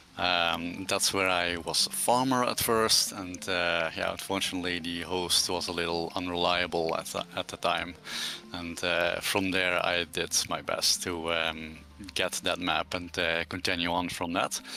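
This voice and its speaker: A man with a Dutch accent speaks at a very deep, low pitch. His delivery is fairly slow, with monotone, flat intonation. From Netherlands. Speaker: community game server admin. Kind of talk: casual livestream chat. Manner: halting, many fillers.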